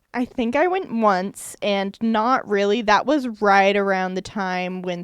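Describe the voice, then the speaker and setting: Against a quiet background, a woman with an unremarkable speaking voice talks fairly slowly at a medium pitch with ordinary pitch variation. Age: 20s. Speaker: podcast guest, daughter of the hosts. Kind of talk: casual family interview.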